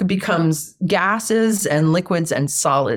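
A woman speaks at a fairly slow pace with lively intonation. She has a normal speaking voice. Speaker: sound healing practitioner and author. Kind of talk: casual interview conversation.

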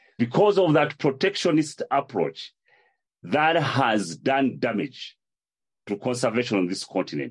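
Over a quiet background, a man of medium pitch talks at a fairly slow pace with vocal fry and very wide pitch swings. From Uganda.

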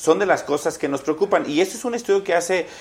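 Lively intonation colors this man's fairly quick delivery in an ordinary speaking voice. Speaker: senator. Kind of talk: political debate.

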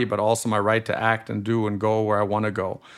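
A man with a slight German accent, a medium pitch and a fairly quick pace. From Germany. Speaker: lawyer and author. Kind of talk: casual interview.

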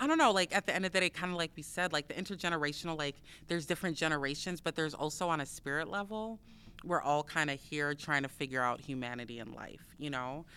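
A woman's very deep, low voice in an American accent, bright and sharp in tone, at a fairly quick pace, on a very clean recording with a silent background. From US Midwest. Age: 40s. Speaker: author and artist. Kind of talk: casual chat.

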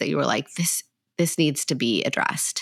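A woman in a normal speaking voice, lively intonation and moderate pace, on a very clean recording with a silent background. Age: 30s. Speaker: podcast host, clinical psychologist. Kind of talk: casual interview chat.

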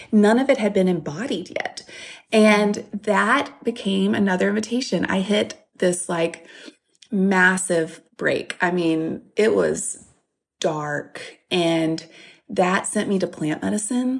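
In a Southern US accent, the speech moves at a very slow pace with ordinary pitch variation. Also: woman, medium pitch for a woman. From US South, Louisiana. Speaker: author and speaker. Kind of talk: interview.

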